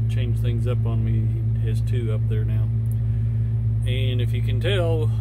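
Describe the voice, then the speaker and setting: A man talks fairly slowly while loud background noise plays behind him. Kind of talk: casual vlog chat. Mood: calm, relaxed narration. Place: farm machine. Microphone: phone near.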